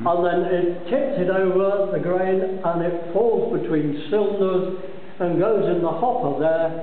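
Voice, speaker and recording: The speaker talks at a fairly slow pace with ordinary pitch variation, and room echo is audible. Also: man, high pitch for a man. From Scotland. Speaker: brewery tour guide. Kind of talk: guided tour explanation. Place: factory. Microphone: phone near.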